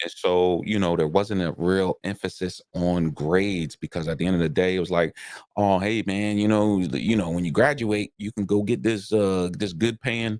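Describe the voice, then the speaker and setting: With an American accent, a man speaks in a very deep, low pitch with ordinary pitch variation, at a moderate pace with hardly any pauses. The recording is very clean, with a silent background and a dry, close sound with no echo. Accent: Southern accent coming back. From South Carolina, then Delaware. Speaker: podcast host. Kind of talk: casual chat. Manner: repetitive filler words, stammering starts.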